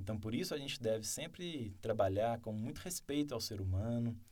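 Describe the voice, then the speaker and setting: The tone is dark and mellow. It comes from a man. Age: 30s. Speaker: mayoral candidate. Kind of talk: interview.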